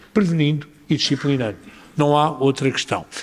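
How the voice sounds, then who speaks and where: A man with a European Portuguese accent. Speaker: mayor. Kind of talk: panel discussion answer. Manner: hesitant, many filler sounds.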